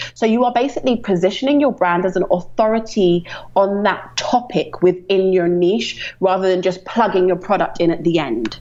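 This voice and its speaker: A woman with a British accent at a medium pitch and a moderate pace, lively intonation, very even loudness, hardly any pauses, and noticeable background noise. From London, England. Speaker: ecommerce marketing strategist. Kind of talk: podcast interview.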